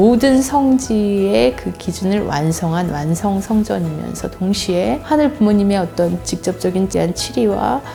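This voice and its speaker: With music in the background, a woman with a fairly low pitch speaks at a fairly slow pace, her voice making very wide pitch swings. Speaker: university professor of religious studies. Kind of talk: interview answer.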